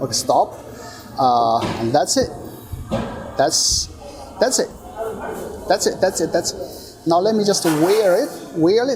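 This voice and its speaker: A man speaks with a high pitch in a room with audible echo. Noticeable background noise runs underneath. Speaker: tech reviewer. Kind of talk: unboxing and hands-on review. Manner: animated.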